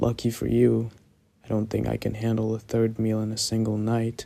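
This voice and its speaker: Putting on a character voice, a man growls in a guttural way at medium pitch and a moderate pace. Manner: growling, menacing.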